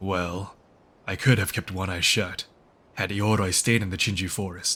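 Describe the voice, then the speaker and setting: Using a put-on character voice, a man speaks at a moderate pace in a fairly low pitch. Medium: fan dub. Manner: casual, teasing, lighthearted.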